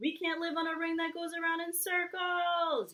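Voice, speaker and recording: A squeaky, put-on character voice with an extremely high pitch. It moves at a moderate pace. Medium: read story.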